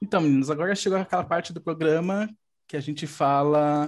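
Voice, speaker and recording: Against a quiet background, a man with a plain, everyday voice and fairly high pitch speaks at a moderate pace with ordinary pitch variation. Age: 30s. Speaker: podcast host, psychologist. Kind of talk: casual chat.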